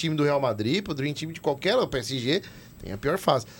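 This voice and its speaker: The man talks in an animated tone. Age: 30s. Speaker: football podcast host. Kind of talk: casual chat.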